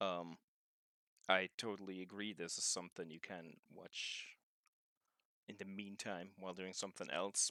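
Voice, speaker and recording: In a German accent, a man speaks at a moderate pace with a fairly low pitch, a bright, sharp tone and monotone, flat intonation, in a dry, close sound with no echo. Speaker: video game streamer. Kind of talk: casual chat. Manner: halting.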